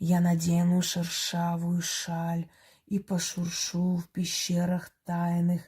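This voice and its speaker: Loud and at a middle pitch, the put-on character voice holds a flat monotone. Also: fairly slow pace. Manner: loud, spoken aloud in a full voice.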